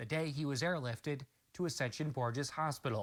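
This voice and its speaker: A man with an ordinary speaking voice at a moderate pace, fairly even intonation, on a very clean recording with a silent background. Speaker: TV news anchor and reporter. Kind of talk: TV news field report.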